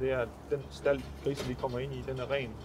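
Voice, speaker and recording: A man speaks over noticeable background noise. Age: 30s. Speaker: pig farmer. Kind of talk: interview. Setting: on-site at a pig farm. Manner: halting.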